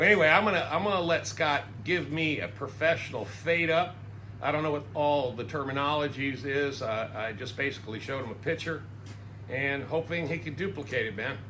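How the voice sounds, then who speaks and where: A bright, sharp tone with lively intonation moves at a fairly quick pace. Audible room echo surrounds the voice. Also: man, fairly high pitch for a man. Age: 60s. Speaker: YouTuber. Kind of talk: casual chat. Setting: barbershop.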